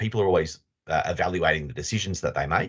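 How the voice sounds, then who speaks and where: There's vocal fry in this man's voice, and his intonation is lively. The background is quiet. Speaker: leadership consultant. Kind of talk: webinar presentation. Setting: video call. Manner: fast.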